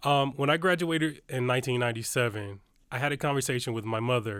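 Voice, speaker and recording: A man talks at a very fast pace with a Detroit accent. His pitch is medium. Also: very clean recording, silent background. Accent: Midwestern US (Detroit). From Detroit, Michigan. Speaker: university student-success administrator. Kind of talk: podcast interview. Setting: studio.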